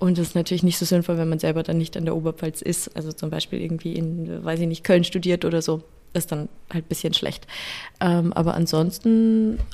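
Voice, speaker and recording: Talking at a fairly quick pace, a woman has a fairly low pitch and a dark, mellow tone, her intonation monotone and flat. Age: 20s. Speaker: psychologist and youth helpline counsellor. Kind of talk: interview.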